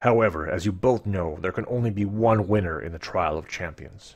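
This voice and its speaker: Using a put-on character voice, a man talks fairly quickly at a very deep, low pitch against a quiet background. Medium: read story. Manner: formal, stately, authoritative.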